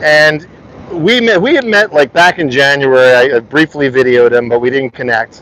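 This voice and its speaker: Heard in a dry, close sound with no echo but noticeable background noise, a man with an American accent talks at medium pitch with ordinary pitch variation. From US Northeast, South Jersey. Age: 50s. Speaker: livestreamer. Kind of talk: casual interview livestream.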